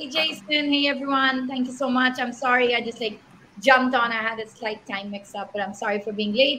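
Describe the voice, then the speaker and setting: A woman with a Pashto accent, high-pitched, at a fairly quick pace. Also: ordinary pitch variation. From Pakistan. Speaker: panel moderator, tech startup founder. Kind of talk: online panel discussion.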